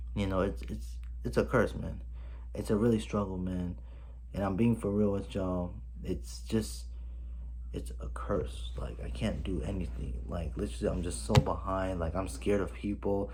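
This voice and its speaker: A man with a very deep, low, dark and mellow voice speaks at a moderate pace, with vocal fry and very wide pitch swings. Room echo is audible. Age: 20s. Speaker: vlogger. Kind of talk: personal vlog. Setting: home, filming on camera. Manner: animated.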